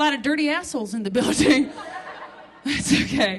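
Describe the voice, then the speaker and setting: Over noticeable background noise, a woman with a high pitch talks at a fairly quick pace in a raised, projected voice. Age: 30s. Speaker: stand-up comedian. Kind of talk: stand-up. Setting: stage with audience. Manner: animated.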